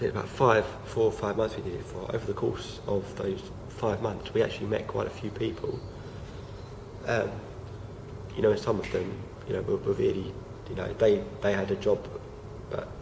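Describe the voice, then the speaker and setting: A man talks at a moderate pace, leaving long, frequent pauses. Room echo is audible, and there is noticeable background noise. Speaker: vlogger. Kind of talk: casual vlog monologue. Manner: halting, many fillers.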